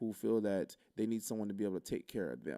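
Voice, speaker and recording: Dark and mellow in tone, a man's voice sits fairly low in pitch. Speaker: livestream reaction host. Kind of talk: live reaction commentary. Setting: livestream.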